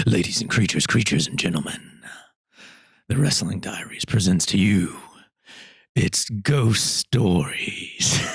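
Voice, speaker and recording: A man speaks in a fairly low, somewhat breathy voice with lively intonation. His pace is fairly slow, broken by long, frequent pauses. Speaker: podcast host. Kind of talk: casual podcast intro. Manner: playful.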